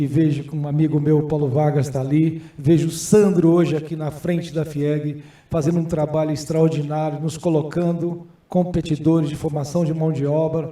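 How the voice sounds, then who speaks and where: A man with a fairly high pitch and a dark, mellow tone speaks at a moderate pace in a monotone, flat intonation, with audible room echo. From Brazil, Goiás (city of Goiás). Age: 60s. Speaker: senate candidate and businessman. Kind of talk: candidate hearing speech.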